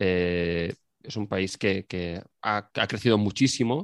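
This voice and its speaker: A man with a fairly low pitch and ordinary pitch variation speaks against a quiet background, the sound dry and close with no echo. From Spain. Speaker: podcast guest. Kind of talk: casual chat. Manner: halting.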